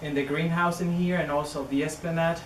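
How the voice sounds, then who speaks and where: Very fast and flat in intonation, a man with a Chilean accent speaks over noticeable background noise and audible room echo. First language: Spanish. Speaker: orchid researcher. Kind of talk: public talk. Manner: halting.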